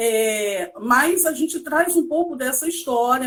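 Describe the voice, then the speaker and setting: At a high pitch, a woman talks with ordinary pitch variation. Her pace is fairly slow. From Brazil, Seropédica, Rio de Janeiro state. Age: 40s. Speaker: educator and historian. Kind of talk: interview.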